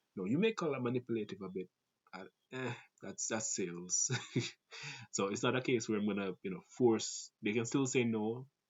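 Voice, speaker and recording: The speaker is a man with a Jamaican accent. He talks at a moderate pace. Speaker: call center sales agent. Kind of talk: casual talk to camera.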